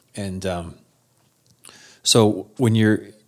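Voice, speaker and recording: On a very clean recording with a silent background, a man with an Upper Midwest accent speaks at a fairly low pitch. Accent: Upper Midwest American. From South Dakota. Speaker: spouse sharing recovery story. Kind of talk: testimony.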